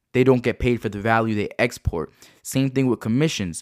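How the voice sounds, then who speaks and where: Speaking at a very fast pace in an animated tone with ordinary pitch variation, a man comes through dry and close with no echo on a very clean recording with a silent background. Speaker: entrepreneur and podcast host. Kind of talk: motivational monologue.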